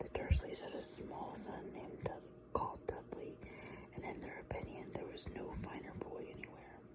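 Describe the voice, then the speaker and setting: The speech is whispered. Background noise is clearly noticeable. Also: moderate pace. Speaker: ASMR creator. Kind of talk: ASMR book reading.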